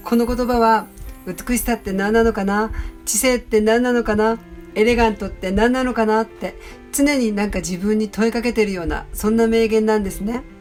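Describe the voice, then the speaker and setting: Music plays in the background as a woman talks at a fairly high pitch with fairly even intonation. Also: moderate pace. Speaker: painter / artist. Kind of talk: motivational quote narration with commentary.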